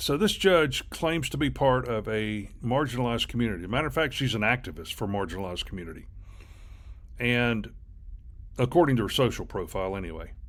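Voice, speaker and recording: A man at medium pitch with lively intonation. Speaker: commentary video host. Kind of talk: reaction commentary. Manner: halting; slow, deliberate.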